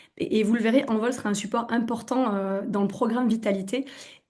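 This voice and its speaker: A woman with a slight southwestern French accent talks at a fairly quick pace in a fairly high, somewhat breathy voice with ordinary pitch variation. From southwestern France. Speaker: naturopath. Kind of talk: webinar presentation. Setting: online webinar. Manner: hesitant, many fillers.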